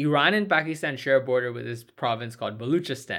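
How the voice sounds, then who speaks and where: A man talks fairly quickly in an ordinary speaking voice with lively intonation. The recording is very clean, with a silent background. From Indian-American. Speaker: political podcast co-host. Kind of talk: casual political discussion.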